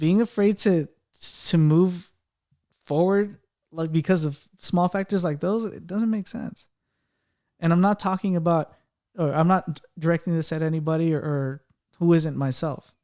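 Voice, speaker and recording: A man's high-pitched voice with a dark, mellow tone, fairly even intonation and long, frequent pauses on a very clean recording with a silent background. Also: dry, close sound with no echo. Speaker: podcast co-host. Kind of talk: casual chat. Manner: halting, with repeated words.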